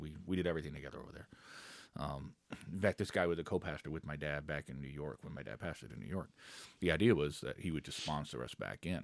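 Very deep and low with vocal fry, a man's voice moves at a very fast pace with ordinary pitch variation. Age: 30s. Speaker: co-pastor. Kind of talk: casual chat.

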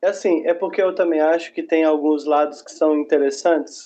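A man's monotone, flat delivery over music in the background. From Belo Horizonte, Minas Gerais, Brazil. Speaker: educator and teaching materials writer. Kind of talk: casual panel discussion.

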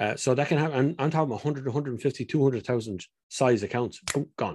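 At a fairly quick pace and medium pitch, a man with an Irish accent speaks on a very clean recording with a silent background. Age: 40s. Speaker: car enthusiast. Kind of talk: casual interview.

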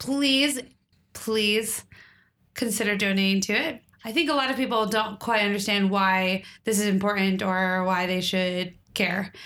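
A mumbling woman at medium pitch, bright, sharp tone, ordinary pitch variation and a fairly slow pace, on a very clean recording with a silent background. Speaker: podcast co-host. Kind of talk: casual chat. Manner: clear, trained delivery without mumbling.

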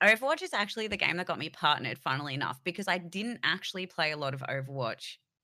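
A woman with an Australian accent speaks at a very fast pace with hardly any pauses and lively intonation. Her voice is fairly low in pitch for a woman, with a bright, sharp tone. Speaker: live streamer. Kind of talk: casual interview chat. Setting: remote call across time zones.

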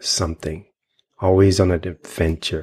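A man's very deep, low voice, somewhat breathy and calm in tone, with an American accent. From US Virgin Islands (St. Thomas). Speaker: intuitive healer. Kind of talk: interview conversation.

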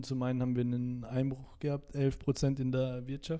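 A man talks in a dark, mellow tone at medium pitch. His intonation stays monotone and flat. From Salzburg, Austria. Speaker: TikToker. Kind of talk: casual interview chat.

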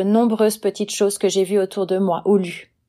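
Against a silent background on a very clean recording, a woman with a dark, mellow tone speaks at a moderate pace. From Switzerland, Valais. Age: 40s. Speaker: freelance writer and translator. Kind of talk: prepared talk, read monologue.

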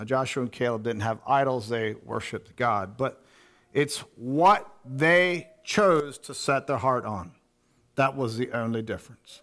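Here is a man with a plain, everyday voice at medium pitch, talking at a fairly slow pace with ordinary pitch variation. The recording is very clean, with a silent background. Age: 50s. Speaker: preacher. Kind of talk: sermon.

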